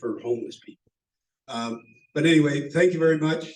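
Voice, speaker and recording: Here a man speaks in a somewhat breathy voice with fairly even intonation. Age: 70s. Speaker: city council candidate, veteran. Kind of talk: campaign speech. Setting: meeting hall with audience, also on Zoom. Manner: halting, many fillers and repeats.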